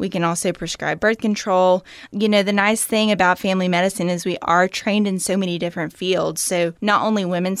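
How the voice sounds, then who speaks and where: A woman with a Southern US accent talks at a moderate pace and medium pitch with ordinary pitch variation. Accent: Southern US (Georgia). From US South, Georgia. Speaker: family medicine physician. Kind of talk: interview.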